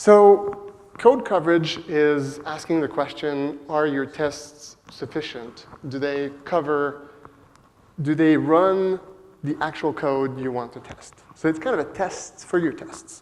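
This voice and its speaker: With a French Canadian accent, a man speaks very slowly in a fairly high voice, with ordinary pitch variation and big swings in loudness. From Quebec, Montreal. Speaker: software developer, conference speaker. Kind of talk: conference talk. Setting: stage with audience. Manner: hesitant, many fillers.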